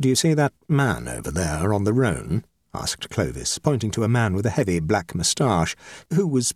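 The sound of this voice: The reading voice is unforced. All is quiet behind it.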